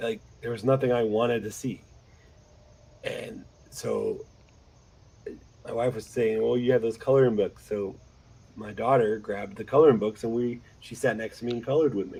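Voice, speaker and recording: Speaking at a moderate pace, a man leaves long, frequent pauses and makes big swings in loudness. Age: 30s. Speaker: podcast host recovering from blood clot. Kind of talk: casual chat. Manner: halting.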